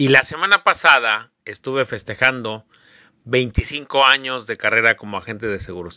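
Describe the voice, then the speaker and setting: A man's medium-pitched voice in an animated, bright, sharp tone, with ordinary pitch variation at a fairly slow pace, on a very clean, dry, close recording with a silent background and no echo. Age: 50s. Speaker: insurance agent and podcast host. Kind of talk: casual interview podcast.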